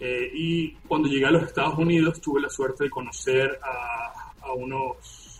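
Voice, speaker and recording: A man's voice with music playing in the background. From Venezuela. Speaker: digital forensic examiner. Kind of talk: interview.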